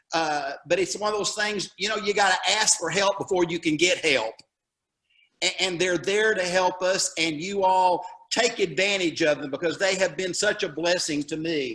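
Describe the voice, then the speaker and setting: A man talks in a high voice with a Southern US accent. His tone is bright and sharp, with ordinary pitch variation. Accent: Southern drawl. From Alabama. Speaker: retired teacher, local association president. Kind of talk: presentation at a summit. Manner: halting.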